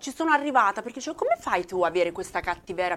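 A woman at a very fast pace, her pitch swinging very widely. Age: 40s. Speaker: tattooed social media creator. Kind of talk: casual chat.

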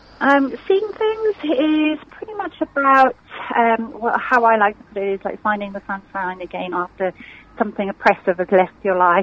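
Over noticeable background noise, a woman talks at a fairly high pitch and moderate pace with lively intonation. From South Africa. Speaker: musician. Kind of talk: radio interview. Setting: phone call.

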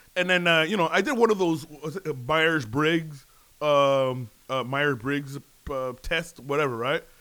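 A man speaks at a fairly slow pace with a fairly high pitch and a bright, sharp tone. He leaves long, frequent pauses. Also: ordinary pitch variation. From Canada, child of African immigrants. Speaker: podcast co-host. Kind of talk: casual chat.

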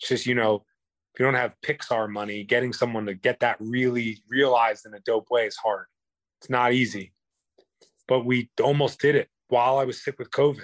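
A man with a New York accent talks at a fairly quick pace and a medium pitch, his loudness swinging widely while his intonation stays fairly even, in a dry, close recording with no echo. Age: 30s. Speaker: singer-songwriter and former MMA fighter. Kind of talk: interview conversation. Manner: emphatic, profane.

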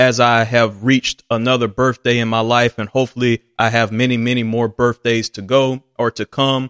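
A man's medium-pitched, monotone, flat voice at a moderate pace with hardly any pauses, dry and close with no echo. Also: very clean recording, silent background. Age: 20s. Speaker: solo sports podcast host. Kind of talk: solo sports commentary monologue.

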